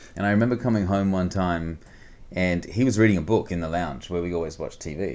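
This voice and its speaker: A man with a New Zealand accent talks at a very fast pace, his very deep, low voice showing ordinary pitch variation. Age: 40s. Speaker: money management coach. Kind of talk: interview. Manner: casual.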